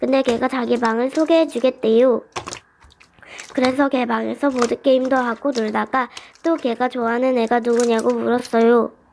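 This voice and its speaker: A woman speaks at a moderate pace in a high, monotone voice with flat intonation and very even loudness, over noticeable background noise. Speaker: slime radio host. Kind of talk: reading a listener's story, radio-show style.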